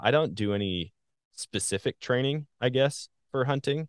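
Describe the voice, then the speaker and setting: A man with a normal speaking voice and an American accent, at a moderate pace, with lively intonation. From Wisconsin, US Midwest. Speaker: hunter and social media content creator. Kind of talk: casual interview chat.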